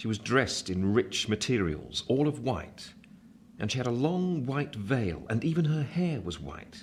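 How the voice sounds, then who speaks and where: Speaking at a fairly slow pace, a man with a medium-pitched, somewhat breathy voice swings his pitch very widely. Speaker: narrator. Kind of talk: radio play narration.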